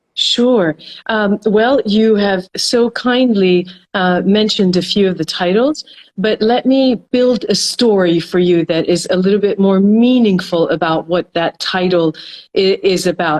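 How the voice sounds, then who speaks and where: A woman's ordinary speaking voice with an American accent, medium pitch, ordinary pitch variation, very even loudness, and a fairly slow pace. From North America (US and Canada), Iranian heritage. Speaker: psychology professor and consultant. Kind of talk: interview. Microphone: good connection.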